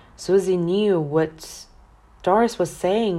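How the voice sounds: Natural-sounding reading voice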